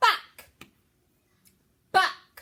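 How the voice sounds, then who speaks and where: Loud, squeaky shouting in a put-on character voice. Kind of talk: teaching, phonics-style. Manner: shouting loudly.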